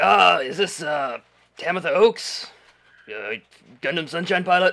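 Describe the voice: Using a put-on character voice, a man sounds gruff at a high pitch. He goes at a fairly slow pace.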